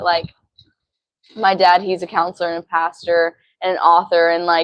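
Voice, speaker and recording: At a moderate pace, a woman talks in a fairly low, monotone, flat voice. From Arkansas. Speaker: ministry student. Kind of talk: testimony.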